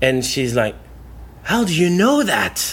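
A man with a French accent speaks in a fairly high voice at a fairly slow pace. His pitch swings very widely. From France, southwest near Bordeaux. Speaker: evangelist. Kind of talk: casual interview. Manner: halting with fillers.

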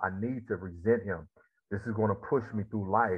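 In a Mississippi accent, a man speaks at a fairly quick pace. His fairly low pitch holds fairly even intonation. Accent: Southern US (Mississippi). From US South, Mississippi Delta. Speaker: former football player, motivational speaker and therapist. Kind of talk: interview.

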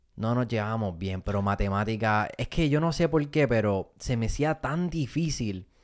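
A man with an unremarkable speaking voice, medium pitch and lively intonation, at a moderate pace with hardly any pauses, on a very clean recording with a silent background. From Puerto Rico (Fajardo). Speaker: comedian and content creator. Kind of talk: casual interview.

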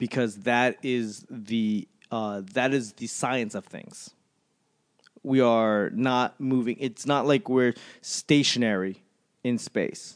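A man at a medium pitch speaks very slowly with fairly even intonation against a quiet background. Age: 30s. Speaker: podcast host. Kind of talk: casual chat.

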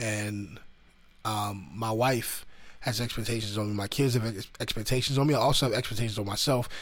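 A man with a medium pitch talks at a fairly quick pace and with fairly even intonation, and there is audible room echo. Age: 30s. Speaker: podcast host. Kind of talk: casual motivational monologue. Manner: many fillers and repetitions.

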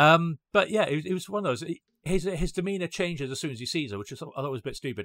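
The speech races along at a very fast pace with very wide pitch swings, captured in a very clean recording against a silent background. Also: man. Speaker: podcast co-host. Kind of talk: casual chat.

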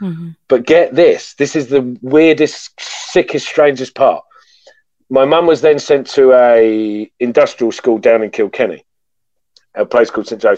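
At a fairly slow pace, a man speaks with a British accent, the sound dry and close with no echo. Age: 40s. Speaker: podcast guest sharing trauma story. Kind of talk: personal testimony in interview.

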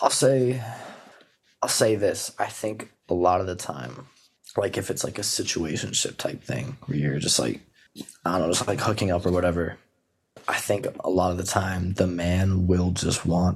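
Very deep and low, a man's voice carries vocal fry, ordinary pitch variation and a moderate pace. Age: 20s. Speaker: podcast co-host. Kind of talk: casual chat.

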